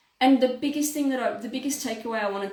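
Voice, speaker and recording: A woman's fairly high voice with lively intonation and audible room echo. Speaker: naturopath. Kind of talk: health talk to camera. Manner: fast.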